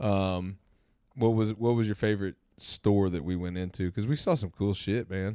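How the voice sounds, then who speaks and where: A man's fairly low voice with a Southern US accent, dark and mellow in tone, fairly even in intonation, at a moderate pace, with a dry, close sound and no echo. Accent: Southern twang. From Southern Indiana. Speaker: podcast co-host. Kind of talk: casual chat.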